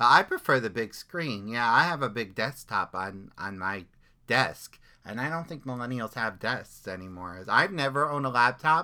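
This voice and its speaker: On a very clean recording with a silent background, a man with a medium pitch speaks in a bright, sharp, animated tone with lively intonation at a moderate pace. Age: 40s. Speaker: podcast host. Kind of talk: casual chat.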